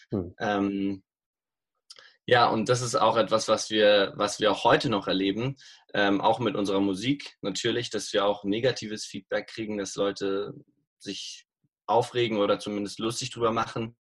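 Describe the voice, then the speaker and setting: A man's fairly low, fairly even voice at a moderate pace, a normal speaking voice. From Bavaria, Munich. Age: 20s. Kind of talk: interview. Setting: remote call.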